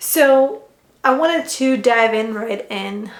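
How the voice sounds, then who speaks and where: With a Ukrainian accent, a woman speaks at a fairly high pitch. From Ukraine. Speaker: functional medicine health coach. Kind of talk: personal story vlog. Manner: hesitant with fillers.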